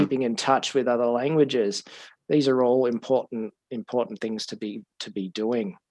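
With an Australian accent, a man talks at a fairly quick pace. His intonation is fairly even, and the background is quiet. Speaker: podcast host and language school owner. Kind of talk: casual interview chat. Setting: studio.

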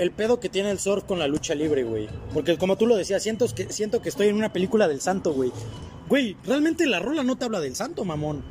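A high-pitched man with a Mexican accent at a very fast pace, very wide pitch swings, and noticeable background noise. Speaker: podcast co-host. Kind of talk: casual chat.

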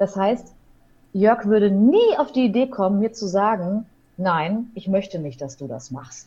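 Her tone dark and mellow and somewhat breathy, a woman speaks at a medium pitch and a fairly slow pace with lively intonation and big swings in loudness. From Ruhr area, Germany (Hamm). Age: 30s. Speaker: wedding officiant and radio presenter. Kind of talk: casual interview. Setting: online call.

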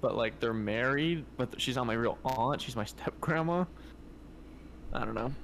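Speaking at a moderate pace with long, frequent pauses, a man keeps a medium pitch and ordinary pitch variation. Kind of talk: casual chat. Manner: loud.

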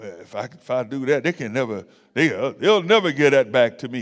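Speaking at a fairly slow pace, a man uses medium pitch and an animated tone. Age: 60s. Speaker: pastor. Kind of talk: sermon.

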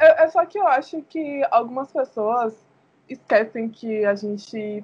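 A woman's fairly high voice with lively intonation. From Salvador, Bahia, Brazil. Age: 20s. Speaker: doula and entrepreneur. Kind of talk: podcast interview.

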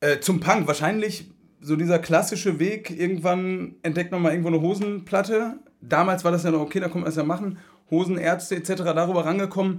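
Fairly quick and with fairly even intonation, a man speaks at a high pitch. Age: 30s. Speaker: punk musician. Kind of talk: casual chat.

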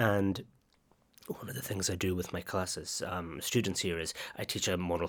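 A man speaks with a Highland Scottish accent, his voice very deep and low-pitched. His intonation stays fairly even over a very clean recording with a silent background. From northwest Scotland. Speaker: literature academic. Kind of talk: interview.

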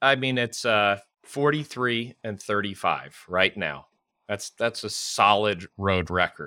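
The recording is very clean, with a silent background and a dry, close sound with no echo. A man speaks at a very slow pace in a fairly low pitch, his bright, sharp tone showing ordinary pitch variation. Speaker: sports podcast host. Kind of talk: casual chat.

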